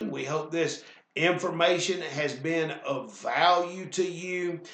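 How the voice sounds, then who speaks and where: A man speaks very slowly with a Southern US accent. Audible room echo surrounds his voice. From US South. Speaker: weight loss instructor. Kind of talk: sales pitch; instructional class.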